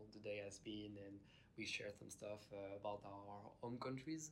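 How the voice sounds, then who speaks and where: In a French accent, a man talks with fairly even intonation. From France. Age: 20s. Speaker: exchange student. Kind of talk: casual interview.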